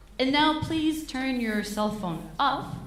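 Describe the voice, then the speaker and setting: A woman speaks very slowly with a strong French accent and lively intonation. Noticeable background noise and audible room echo fill the recording. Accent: thick French. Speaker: concert MC. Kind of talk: stage announcement. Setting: stage with audience. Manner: halting.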